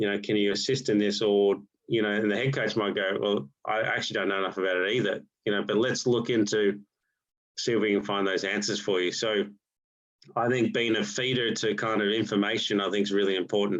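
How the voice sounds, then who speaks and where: A man with an Australian accent speaks at a fairly quick pace, fairly low in pitch, with very even loudness and monotone, flat intonation. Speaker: golf coach. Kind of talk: online presentation to golf coaches. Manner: halting, many repetitions and fillers.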